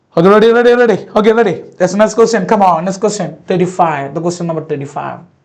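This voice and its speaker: Audible room echo surrounds a man's voice. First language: not English. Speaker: biology teacher. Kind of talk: lecture. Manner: repetitive, halting.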